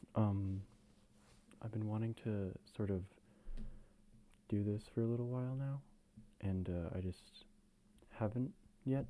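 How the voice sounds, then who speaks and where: A soft-spoken man with a fairly low pitch and a dark, mellow tone leaves long, frequent pauses. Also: ordinary pitch variation. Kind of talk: casual talk to camera, soft-spoken ASMR chat. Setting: low-quality home camera recording.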